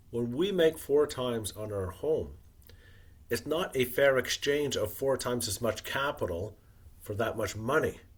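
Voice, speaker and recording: A man's somewhat breathy, medium-pitched voice, fairly slow, with lively intonation. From Wales. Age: 60s. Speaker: retired investor and author. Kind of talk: podcast interview.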